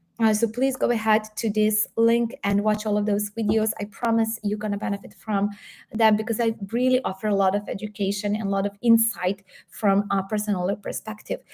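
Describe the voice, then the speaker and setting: With a somewhat breathy, dark, mellow tone, a woman speaks in a fairly high pitch and a monotone, flat intonation. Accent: Serbian. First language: Serbian. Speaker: health coach and YouTuber. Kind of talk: live stream Q&A. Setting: live stream.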